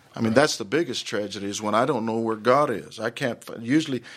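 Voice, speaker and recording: An unremarkable speaking voice with an American accent comes at a fairly quick pace with ordinary pitch variation, on a very clean recording with a silent background. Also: man. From Dallas, Texas (Oak Cliff). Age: 50s. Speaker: pastor. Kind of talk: interview.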